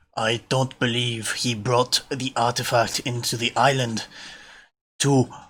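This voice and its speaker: Using a put-on character voice, a man speaks at a fairly slow pace in a medium pitch with monotone, flat intonation. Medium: actual play. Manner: measured, formal, kindly.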